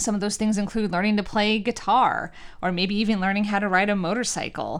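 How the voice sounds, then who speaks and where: A woman with an American accent and an unremarkable speaking voice talks at a moderate pace and medium pitch. The recording is very clean, with a silent background. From New York. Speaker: college president and podcast host. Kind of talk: scripted monologue; casual interview.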